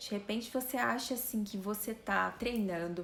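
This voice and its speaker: This soft-spoken woman has a medium pitch, ordinary pitch variation and a moderate pace. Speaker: fitness and weight-loss influencer. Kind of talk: live stream talk. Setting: live stream. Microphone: voice too quiet on stream.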